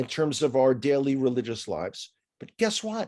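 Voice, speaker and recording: Lively intonation marks this man's speech, delivered with a New York accent. The background is quiet. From New York City (the Bronx). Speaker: tour guide. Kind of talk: interview.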